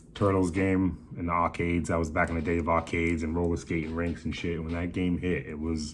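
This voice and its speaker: With audible room echo, a man speaks fairly quickly in a very deep, low pitch and a monotone, flat intonation. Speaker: toy collector vlogger. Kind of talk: casual haul video. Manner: casual, profane slang.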